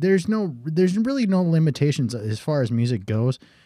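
A man's dark, mellow tone. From South Dakota. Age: 30s. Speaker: local musician. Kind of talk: casual chat.

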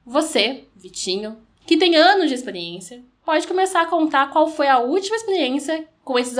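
Very wide pitch swings mark this speech. Its pace is fairly slow. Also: woman. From Curitiba, Paraná, Brazil. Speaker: podcast host and dancer. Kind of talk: casual chat.

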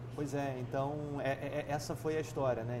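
The recording has audible room echo. A man speaks with a fairly high pitch. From Rio de Janeiro state, Brazil (Nova Friburgo). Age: 30s. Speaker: entrepreneur. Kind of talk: interview conversation.

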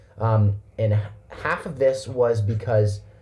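Speaking at a very slow pace, the man has a fairly low pitch and a dark, mellow tone that is somewhat breathy. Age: 20s. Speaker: podcast co-host. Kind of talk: casual chat.

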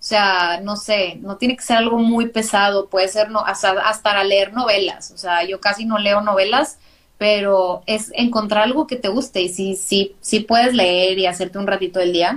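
With a northern Mexican accent, a woman speaks at medium pitch and a moderate pace, her intonation fairly even. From northern Mexico, Monterrey. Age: 30s. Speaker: graphic designer and podcaster. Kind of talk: casual interview. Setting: live video stream.

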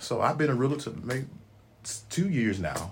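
A man speaks in a Memphis accent at a moderate pace and medium pitch, with vocal fry. His pitch swings very widely, and audible room echo surrounds him. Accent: Southern US (Memphis). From US South (Memphis, Tennessee). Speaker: retired soldier, realtor, elder. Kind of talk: casual interview.

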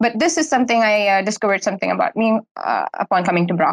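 In a dry, close sound with no echo, a woman talks at a very fast pace. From India. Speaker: university student. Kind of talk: interview. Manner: hesitant, many fillers.

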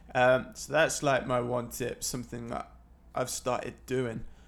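A man with an East Midlands accent speaks at a fairly slow pace. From Leicester, England. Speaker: photography podcaster. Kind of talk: casual solo monologue. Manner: hesitant, many fillers.

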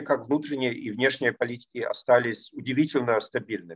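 A man in a German accent at a moderate pace, with ordinary pitch variation. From East Germany. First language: German (speaking Russian). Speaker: political scientist. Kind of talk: interview. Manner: halting, many fillers.

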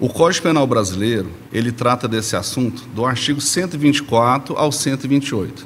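A man with a medium-pitched voice talks at a fairly slow pace with hardly any pauses and ordinary pitch variation, over noticeable background noise. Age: 40s. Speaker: lawyer. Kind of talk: expert interview explanation. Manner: formal.

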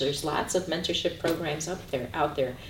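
At a fairly quick pace, a speaker with an American accent talks amid noticeable background noise and audible room echo. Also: woman. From US Midwest, Chicago. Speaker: university LGBTQ center director. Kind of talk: interview. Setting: on campus, filmed.

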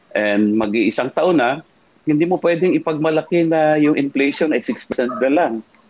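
A man talks at a fairly high pitch with lively intonation and very even loudness. His pace is moderate, with noticeable background noise. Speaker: former congressman and lawyer, political commentator. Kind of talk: political talk show discussion. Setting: live-streamed online show. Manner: halting, many fillers.

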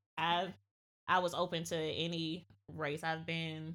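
A woman's fairly low voice with monotone, flat intonation, in a very clean recording with a silent background. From US South, Georgia. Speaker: podcast guest. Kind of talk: casual chat.

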